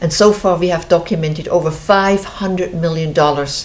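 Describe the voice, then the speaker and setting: In a Swiss accent, a woman speaks at a moderate pace. Her voice is fairly low, and her intonation is fairly even. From Switzerland. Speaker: show host, founder of river conservation group. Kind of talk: casual interview chat. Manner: halting, many fillers.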